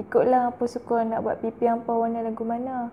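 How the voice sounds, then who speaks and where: The speaker is a woman with a Kedah accent. Her tone is dark and mellow. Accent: northern Malay (Kedah) dialect. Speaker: beauty youtuber. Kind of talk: product review. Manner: casual, chatty.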